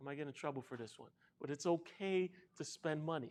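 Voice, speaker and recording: Soft-spoken, a man with an American accent talks with ordinary pitch variation. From New York City, South Bronx. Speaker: financial literacy educator. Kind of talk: workshop presentation.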